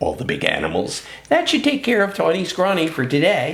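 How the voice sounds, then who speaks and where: A put-on character voice at a middle pitch, delivered at a fairly quick pace. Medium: read story.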